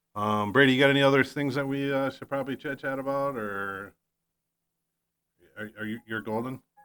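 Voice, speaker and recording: A man with a medium pitch and a bright, sharp tone speaks at a fairly quick pace with fairly even intonation. He leaves long, frequent pauses. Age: 50s. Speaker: podcast host, real estate agent. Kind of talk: casual chat. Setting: studio. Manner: halting.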